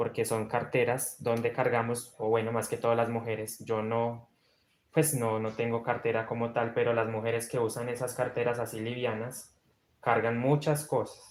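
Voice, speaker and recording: Soft-spoken and at a moderate pace, a man talks with medium pitch and monotone, flat intonation. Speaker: crochet instructor. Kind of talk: live-stream tutorial.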